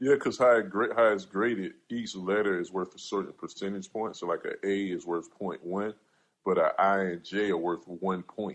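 In a normal speaking voice, a man with an American accent speaks at a moderate pace, his fairly low pitch held to fairly even intonation against a quiet background. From South Carolina. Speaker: podcast host. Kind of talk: casual panel discussion. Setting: live audio stage.

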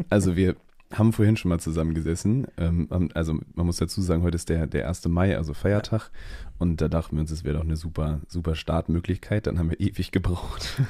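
The tone is dark and mellow, with a very fast pace and ordinary pitch variation, on a very clean recording with a silent background. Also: man, very deep, low pitch for a man. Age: 20s. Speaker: trainee event manager and photographer. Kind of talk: casual chat.

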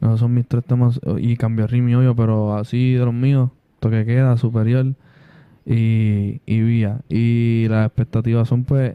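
In a dry, close sound with no echo, a man with a medium pitch and a dark, mellow tone speaks at a fairly slow pace in a flat monotone, his loudness very even. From Puerto Rico, Villa Palmera (San Juan). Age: 20s. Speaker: rapper. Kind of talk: casual chat.

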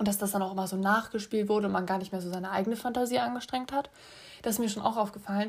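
Talking at a very fast pace, a woman sounds somewhat breathy, with ordinary pitch variation. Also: medium pitch for a woman. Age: 20s. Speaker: podcast host, film student. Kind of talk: casual solo podcast monologue. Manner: chatty, many filler sounds.

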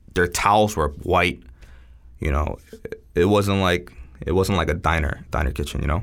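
Using a New York accent, a man with a very deep, low pitch and vocal fry speaks at a moderate pace with ordinary pitch variation. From New York (Queens, Long Island), born in Seoul, moved at eight. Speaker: chef. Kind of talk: casual interview chat.

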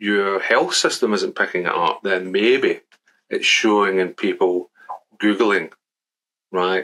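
Speaking at a moderate pace, a man has a Glaswegian accent. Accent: Glaswegian Scottish. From Scotland, Glasgow. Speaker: statistics professor. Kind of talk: casual interview. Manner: halting, many repetitions.

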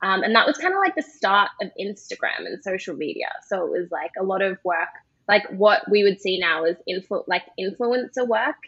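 With an Australian accent, a woman talks at a moderate pace. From Australia (Perth). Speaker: skincare brand founder. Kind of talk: casual interview.

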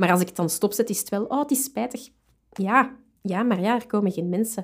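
A woman speaks at a moderate pace with lively intonation and a somewhat breathy quality. The recording is very clean, with a silent background. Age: 30s. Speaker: librarian. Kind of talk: casual interview.

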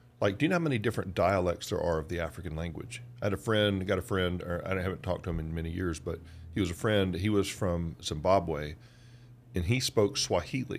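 In a Southern US accent, a man with a very deep, low voice talks at a fairly quick pace with ordinary pitch variation, recorded very cleanly against a silent background. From US South, Georgia. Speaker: podcast co-host. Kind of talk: casual chat.

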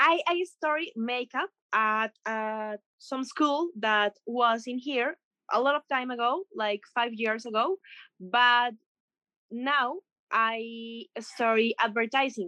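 The voice has a bright, sharp tone and a Spanish accent, with ordinary pitch variation. Speech is very slow, and the sound is dry and close with no echo. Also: woman, high pitch for a woman. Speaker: makeup artist and creative director. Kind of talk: interview. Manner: halting.

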